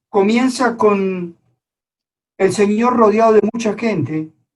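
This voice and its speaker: Very slow speech carries ordinary pitch variation. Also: man. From Colombia. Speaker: preacher. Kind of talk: sermon. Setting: online church service.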